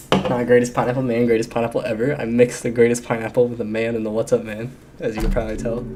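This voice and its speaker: A man at a very fast pace with hardly any pauses, monotone, flat intonation and noticeable background noise. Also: medium pitch for a man. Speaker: gaming streamer. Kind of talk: live stream chat while gaming. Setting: home streaming setup with earbuds. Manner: fast, stumbling over words.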